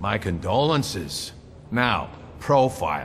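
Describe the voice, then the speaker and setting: A man performs a gruff, put-on character voice at a fairly low pitch, with very wide pitch swings. Clear background noise sits behind him. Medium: video game. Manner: curt, gruff.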